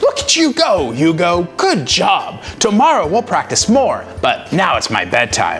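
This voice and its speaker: Using a put-on character voice, a man performs. Clear background noise is audible. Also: moderate pace. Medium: read story. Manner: gentle, calm.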